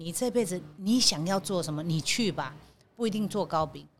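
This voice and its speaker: Somewhat breathy speech from a woman, moderately paced and with ordinary pitch variation. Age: 60s. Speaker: bakery company general manager. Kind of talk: interview.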